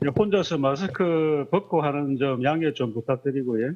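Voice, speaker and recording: Speaking with a Busan accent, a man uses lively intonation at a fairly high pitch and a fairly slow pace. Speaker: regional research fellow. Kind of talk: panel discussion.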